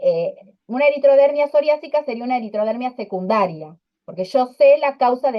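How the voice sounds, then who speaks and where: A woman speaks at a fairly quick pace. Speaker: dermatology lecturer. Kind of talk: online lecture. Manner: fast.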